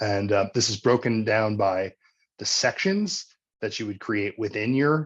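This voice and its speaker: A man's fairly low-pitched voice, a normal speaking voice with ordinary pitch variation, over a quiet background. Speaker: researcher presenting software tool. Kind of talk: webinar software demonstration. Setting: online webinar. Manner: casual with frequent fillers.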